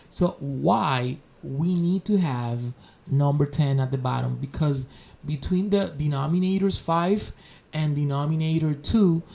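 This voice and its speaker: Speaking slowly in a Spanish accent, a man with a fairly high, somewhat breathy voice uses ordinary pitch variation. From Spanish-speaking country. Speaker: math teacher. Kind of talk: tutorial. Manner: halting, with fillers.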